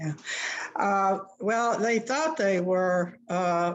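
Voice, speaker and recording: Speaking very slowly with an American accent, a woman uses a medium pitch and ordinary pitch variation. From US South, Columbus, Georgia. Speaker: journalist and author. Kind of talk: interview.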